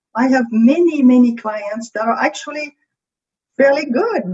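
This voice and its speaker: At a moderate pace, a woman with a French accent speaks at a high pitch. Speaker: creativity coach. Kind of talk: podcast interview.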